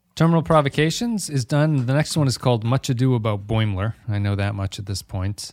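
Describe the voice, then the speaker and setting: In an ordinary speaking voice, a man talks at a fairly quick pace with hardly any pauses, lively intonation and medium pitch, the sound dry and close with no echo on a very clean recording with a silent background. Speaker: podcast host. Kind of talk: casual chat.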